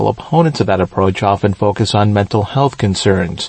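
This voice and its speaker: A man with a fairly low pitch talks at a fairly quick pace, somewhat breathy, with ordinary pitch variation. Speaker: radio news reporter. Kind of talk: scripted radio news report. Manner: steady, formal reporting tone.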